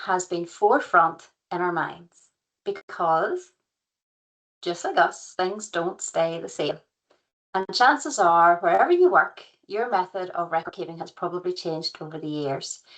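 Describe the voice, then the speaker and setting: The voice has a County Antrim accent and a fairly slow pace. Pitch varies in an ordinary way, while loudness swings widely. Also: woman. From Northern Ireland, County Antrim. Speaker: professional regulator liaison consultant, former physiotherapist. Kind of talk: webinar presentation. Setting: online webinar.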